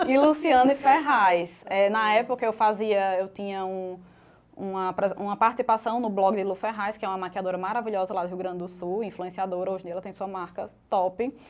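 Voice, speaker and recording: In a strong northeastern Brazilian accent, a woman talks at a medium pitch and fairly quick pace, with ordinary pitch variation and big swings in loudness. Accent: northeastern Brazilian, kept strong. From Northeast Brazil, Natal. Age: 30s. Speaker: makeup artist and fashion influencer. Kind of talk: podcast interview.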